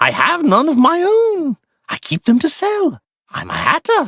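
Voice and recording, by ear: A squeaky, cartoonish character voice pitched extremely high. The pace is moderate.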